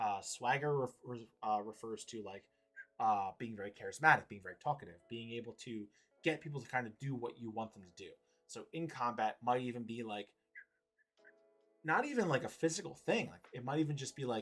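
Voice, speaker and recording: Music plays behind a man who talks fairly quickly at a medium pitch with ordinary pitch variation and big swings in loudness. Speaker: game designer and streamer. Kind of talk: live stream game presentation. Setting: live stream. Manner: fast; casual, many filler words.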